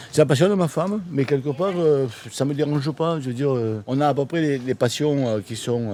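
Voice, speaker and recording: This is an ordinary speaking voice. The pitch variation is ordinary. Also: man, fairly high pitch for a man, fairly quick pace. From France, Marseille. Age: 60s. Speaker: expat builder. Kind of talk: casual interview.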